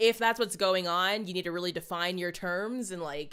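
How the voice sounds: The clip is in a natural reading voice. Pitch varies in an ordinary way.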